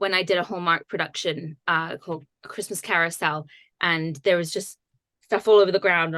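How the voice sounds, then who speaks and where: The tone is bright and sharp, with ordinary pitch variation at a fairly quick pace. The sound is dry and close, with no echo. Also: woman. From England, Bath. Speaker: actress. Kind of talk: interview.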